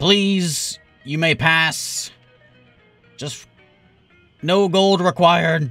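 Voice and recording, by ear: A put-on character voice from a man, pitched high and very slow, with long, frequent pauses and faint music in the background.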